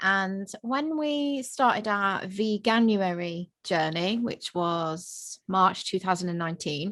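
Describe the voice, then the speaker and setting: A woman with a British accent at a very slow pace with hardly any pauses, medium pitch and lively intonation, over a quiet background. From UK. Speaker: vegan family content creator, mother. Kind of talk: casual interview chat.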